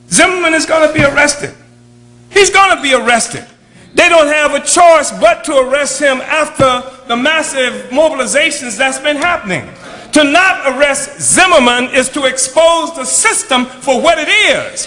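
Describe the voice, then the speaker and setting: A raised, projected voice with an American accent, at a moderate pace with ordinary pitch variation, over noticeable background noise. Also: man, extremely high pitch for a man. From United States. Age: 70s. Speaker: political activist leader. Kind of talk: speech.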